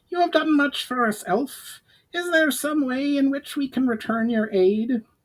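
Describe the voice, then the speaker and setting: A man performs a put-on character voice. It is extremely high-pitched and delivered at a moderate pace. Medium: read story.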